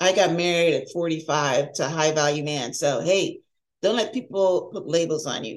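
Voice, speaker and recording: A woman's fairly low-pitched voice at a moderate pace, a plain, everyday voice. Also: ordinary pitch variation. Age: 60s. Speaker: life coach podcast host. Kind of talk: solo podcast monologue. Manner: conversational, with filler words.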